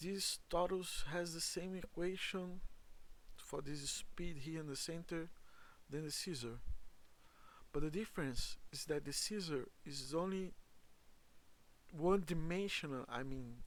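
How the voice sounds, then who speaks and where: A man with a non-native accent speaks at a fairly slow pace and a high pitch, with ordinary pitch variation and long, frequent pauses. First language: not English. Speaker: amateur science explainer. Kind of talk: tutorial. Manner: halting.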